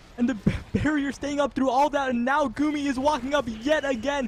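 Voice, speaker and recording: Noticeable background noise runs under speech at a moderate rate. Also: man. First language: not English. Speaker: esports caster. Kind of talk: live commentary.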